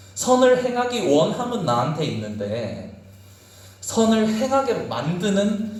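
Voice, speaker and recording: There is noticeable background noise as a man speaks. Room echo is audible around him. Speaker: youth pastor. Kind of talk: sermon.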